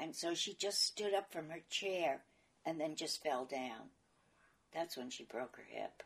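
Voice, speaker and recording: At a fairly slow pace, a woman in a New York accent speaks with a fairly low pitch, lively intonation and big swings in loudness. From New York, Brooklyn. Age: 80s+. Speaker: interviewee recalling her life. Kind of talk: oral history interview.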